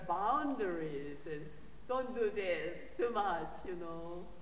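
Amid audible room echo and light background noise, a woman with a Korean accent speaks at a fairly slow pace. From South Korea. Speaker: theology professor and guest preacher. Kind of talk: sermon. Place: church.

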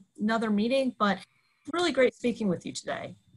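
A woman is speaking. The background is quiet. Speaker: nonprofit legislative director. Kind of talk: panel discussion and role-play. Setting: video call. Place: home room. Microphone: earbuds.

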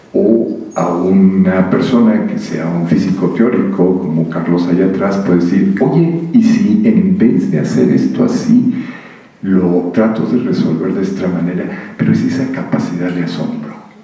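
The room gives off an audible echo. A man talks at a fairly slow pace. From Mexico. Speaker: physicist; speaker. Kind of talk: public conversation. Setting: stage with audience. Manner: animated. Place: hall.

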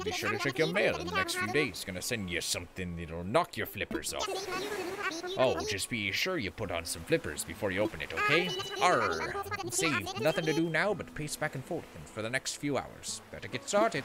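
A man's strained, gruff put-on character voice, fairly high in pitch, at a moderate pace over loud background noise.

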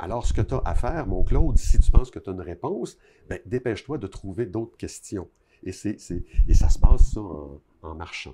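Over noticeable background noise, a speaker with a Quebec accent and a dark, mellow, somewhat breathy tone moves at a moderate pace with big swings in loudness. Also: man, fairly low pitch for a man. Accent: Québécois French. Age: 60s. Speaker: author; interviewee. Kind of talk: interview. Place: home room. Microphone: lapel.

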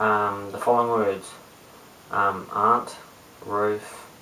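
Mumbling at a very slow pace, a man speaks in a monotone, flat intonation with a fairly low pitch over light background noise. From New Zealand, Christchurch; New Zealand. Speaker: cube youtuber; vlogger. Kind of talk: casual vlog; reading word list aloud. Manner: hesitant, many ums. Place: home room. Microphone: webcam.

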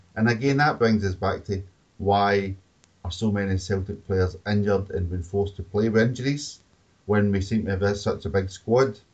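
A man with a Scottish accent speaks at a moderate pace in a fairly low, somewhat breathy voice with fairly even intonation. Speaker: football podcast host. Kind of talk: casual chat.

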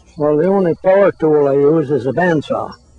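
A man talks in an American accent, his pitch rising and falling in an ordinary way. Music plays behind him, and the sound is dry with no echo. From St. Lawrence River, northern New York. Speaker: decoy carver and river guide. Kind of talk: interview answer.

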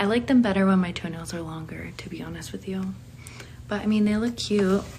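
Light background noise sits behind a woman speaking at a moderate pace. Her pitch varies in an ordinary way. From Pennsylvania. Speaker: online content creator. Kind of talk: live stream reading viewer questions. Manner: casual, giggly. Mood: relaxed, friendly. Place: home room. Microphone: phone near.

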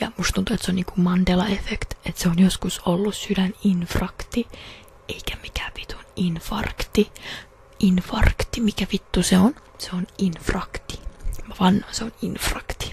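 A soft-spoken woman talks at a fairly slow pace with big swings in loudness. The sound is dry with no echo, over light background noise. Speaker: practical nurse student. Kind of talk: ASMR trigger words and casual talk. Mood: playful, joking. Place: home room. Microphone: studio mic.

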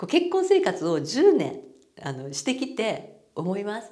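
At a moderate pace, a woman with a Kansai accent speaks in a dark, mellow tone with vocal fry and very wide pitch swings, against a quiet background. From Japan. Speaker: marriage coaching YouTuber. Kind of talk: casual talk to camera. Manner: animated. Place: office. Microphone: lapel.

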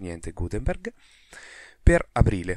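The background is silent and the recording very clean. The voice belongs to a man. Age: 20s. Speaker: podcast host, open source programmer. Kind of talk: solo podcast monologue. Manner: casual, improvised.

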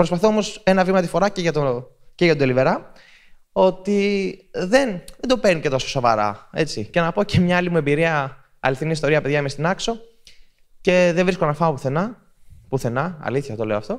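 Lively intonation marks a man's high-pitched voice, delivered at a moderate pace over a quiet background. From Greece. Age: 30s. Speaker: content creator giving a talk. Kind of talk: public talk at a festival. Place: hall. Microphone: handheld.

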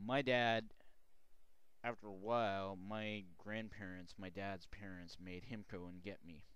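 Fairly slow, fairly even American-accented speech with a dry, echo-free sound. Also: man, fairly low pitch for a man. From Oregon, US Pacific Northwest. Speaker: video blogger; vlogger telling own life story. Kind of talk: personal testimony vlog. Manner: halting, many fillers. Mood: calm, reflective, personal. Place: home room. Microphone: headset.

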